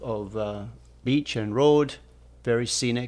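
With a Scottish accent, a man talks with fairly even intonation. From Scotland. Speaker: podcast co-host, engineer. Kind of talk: casual chat.

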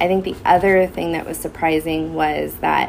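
A woman speaks with an American accent at a moderate pace. There is noticeable background noise. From Southern California, Santa Clarita Valley. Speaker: school social worker. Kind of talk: casual interview. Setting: school wellness center.

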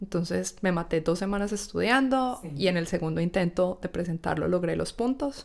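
A woman talks at a fairly quick pace with vocal fry and a fairly low pitch. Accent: Antioquian. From Colombia, Medellín (paisa). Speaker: engineer. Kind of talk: casual interview. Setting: in person, recording together.

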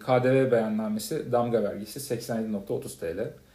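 A man's voice sounds somewhat breathy with a dark, mellow tone. Audible room echo surrounds it. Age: 30s. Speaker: podcast co-host, freelance marketer. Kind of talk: casual chat.

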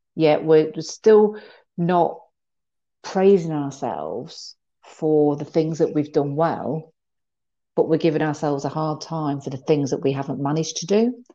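Against a quiet background, a woman speaks fairly slowly in a very deep, low pitch with a dark, mellow tone and ordinary pitch variation. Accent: British. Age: 50s. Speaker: mental health trainer. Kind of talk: interview.

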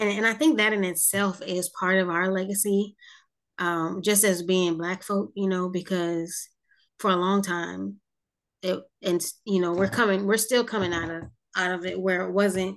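Woman with an American accent and a plain, everyday voice, medium pitch, fairly even intonation and moderate pace, over a quiet background. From South Jersey, US. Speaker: podcast host. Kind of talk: interview.

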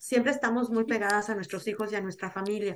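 Fairly even intonation and a fairly quick pace in an unremarkable speaking voice. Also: woman. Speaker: podcast guest, Mexican living abroad. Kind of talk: casual chat.

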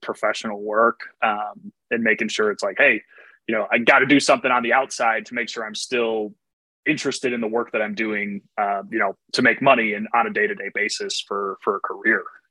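At a fairly quick pace, a man speaks in an ordinary speaking voice, with a medium pitch and ordinary pitch variation. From Chicago area. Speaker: podcast host. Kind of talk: interview; scripted intro.

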